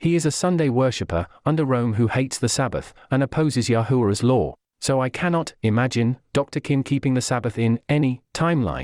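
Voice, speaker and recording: In a plain, everyday voice, the speaker goes at a fairly quick pace with lively intonation and very even loudness, in a very clean recording with a silent background and a dry, close sound with no echo. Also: man. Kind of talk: dramatized religious commentary voice-over.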